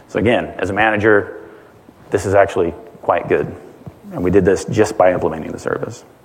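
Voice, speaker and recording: The speech runs at a fairly quick pace, broken by long, frequent pauses, against noticeable background noise. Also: man. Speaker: engineering director, guest speaker. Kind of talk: conference talk. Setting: conference stage with audience.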